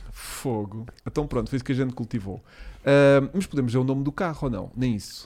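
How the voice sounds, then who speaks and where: A man with an ordinary speaking voice, medium pitch, fairly quick pace and ordinary pitch variation. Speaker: podcast host. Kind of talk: casual chat.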